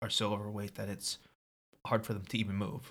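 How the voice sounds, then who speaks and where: With vocal fry and a bright, sharp tone, a man speaks at a fairly low pitch. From Maryland, US. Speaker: personal trainer. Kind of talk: casual chat.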